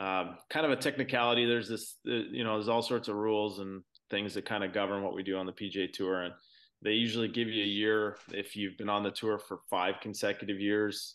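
A normal speaking voice at a fairly quick pace against a quiet background. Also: man. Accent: Canadian. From Canada, Ontario (Brantford). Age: 40s. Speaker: professional golfer. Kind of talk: casual interview.

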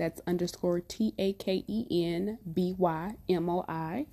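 With a silent background on a very clean recording, a woman's voice sounds dark and mellow at a fairly low pitch. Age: 20s. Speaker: podcast host, spiritual content creator. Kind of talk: solo monologue, casual self-introduction. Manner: laughs often.

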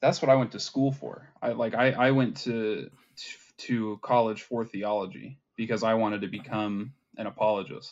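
A man speaks at medium pitch and a moderate pace, with fairly even intonation. It is an ordinary speaking voice. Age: 20s. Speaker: atheist content creator. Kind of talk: casual chat.

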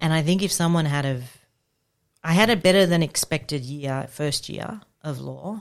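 A woman with an Australian accent speaks at a moderate pace with long, frequent pauses. Her pitch is very deep and low, with ordinary pitch variation, in a very clean recording with a silent background. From Victoria, Australia. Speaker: children's commissioner and lawyer. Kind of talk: casual chat. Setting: studio.

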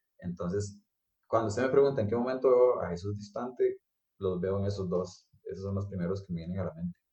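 A man with a Costa Rican accent speaks at a fairly quick pace. His voice is fairly low, somewhat breathy and has a dark, mellow tone. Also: ordinary pitch variation. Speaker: architect. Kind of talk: casual interview. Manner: hesitant, many fillers.

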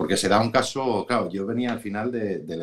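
A man's normal speaking voice, fairly low-pitched and fairly quick, with ordinary pitch variation. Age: middle-aged. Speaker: business executive. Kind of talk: interview.

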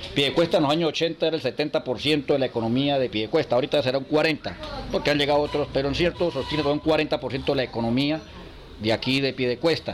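There is noticeable background noise as a man with a fairly high pitch speaks in fairly even intonation. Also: fairly quick pace. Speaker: cigar workers' association leader. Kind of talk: interview.

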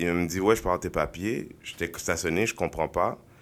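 In a very clean recording with a silent background, a man with a very deep, low pitch speaks with lively intonation. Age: 30s. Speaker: podcast host. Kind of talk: casual chat.

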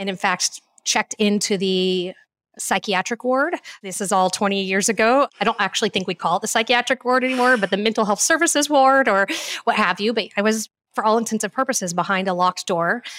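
A woman's medium-pitched voice at a fairly quick pace, with ordinary pitch variation, in a very clean recording with a silent background and a dry, close sound with no echo. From Texas. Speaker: cheese shop owner and mental health advocate. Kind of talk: interview. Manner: talkative.

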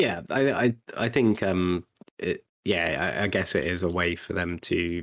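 A man with a British accent speaks at a fairly slow pace, his pitch very deep and low. The sound is dry and close, with no echo. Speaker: podcast co-host. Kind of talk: casual chat. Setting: video call.

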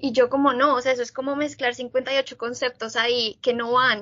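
The woman's voice sits at a high pitch. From Colombia, Bogotá. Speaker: biologist, graduate student. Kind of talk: interview.

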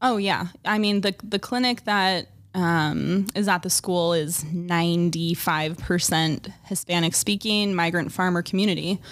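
In a very clean recording with a silent background, a woman with a normal speaking voice talks at a fairly low pitch and a fairly slow pace, her intonation fairly even, her loudness very even, and hardly any pauses. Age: 30s. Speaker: dental hygienist. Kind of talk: casual chat.

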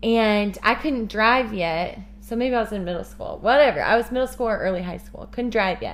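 A woman with a Midwestern American accent talks at a moderate pace with hardly any pauses. Her loudness swings widely. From Kansas City, Missouri. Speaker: missionary and podcast co-host. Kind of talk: casual chat.

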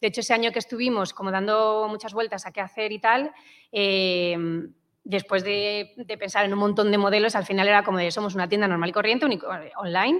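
A woman speaks at a fairly quick pace in a medium pitch, her intonation fairly even. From Madrid, Spain. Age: 40s. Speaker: startup co-founder. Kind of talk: interview. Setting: studio with small live audience. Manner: halting.

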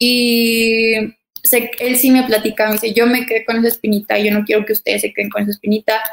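A woman's fairly high, monotone, flat delivery at a fairly quick pace. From Mexico, Torreón (Comarca Lagunera). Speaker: professional basketball player. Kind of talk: interview.

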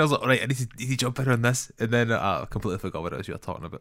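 A man with a Scottish accent in a very clean recording with a silent background. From Scotland. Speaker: filmmaker and podcast co-host. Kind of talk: casual chat.

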